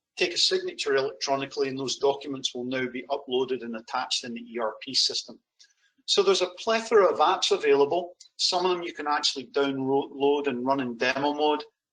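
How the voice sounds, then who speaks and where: Very fast speech comes from a man with a slight Scottish accent and a fairly high pitch. His loudness swings widely. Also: ordinary pitch variation. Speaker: software sales demonstrator. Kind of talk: product demo.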